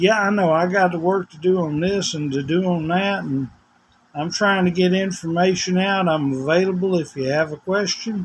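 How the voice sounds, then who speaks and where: On a very clean recording with a silent background, a man with a Southern US accent speaks at a high pitch with fairly even intonation. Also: moderate pace. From US South, Tennessee. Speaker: vlogger. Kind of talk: casual vlog monologue. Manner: rambling, informal.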